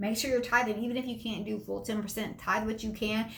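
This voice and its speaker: Amid noticeable background noise and audible room echo, a woman talks in an animated tone. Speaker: motivational speaker. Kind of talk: motivational talk. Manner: fast.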